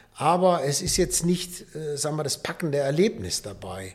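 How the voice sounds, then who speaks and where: Here a man speaks with a fairly high pitch. His pace is moderate. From Rhineland, Düsseldorf. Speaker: nature conservation volunteer. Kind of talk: casual chat. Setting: studio. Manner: upbeat.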